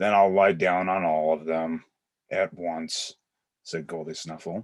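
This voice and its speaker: Against a quiet background, a put-on character voice proceeds at a fairly slow pace. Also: man, very deep, low pitch for a man. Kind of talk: children's storybook read-aloud.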